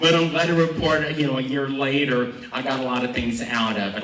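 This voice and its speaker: Noticeable background noise and audible room echo surround a man's voice. He talks at a medium pitch and a fairly quick pace. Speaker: emergency management worker. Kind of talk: self-introduction at community event. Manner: loud.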